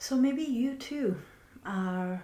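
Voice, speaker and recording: Her voice has a dark, mellow tone that is gentle and somewhat breathy. The woman speaks with ordinary pitch variation. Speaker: healer and spiritual teacher. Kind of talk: reflective monologue. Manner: soft, slow and gentle.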